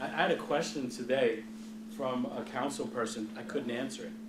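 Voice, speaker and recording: Loud and with very wide pitch swings, a man with an American accent speaks at a moderate pace amid noticeable background noise and audible room echo. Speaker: hospital CEO. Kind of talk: Q&A talk to students. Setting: lecture hall with audience, no microphone. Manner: animated.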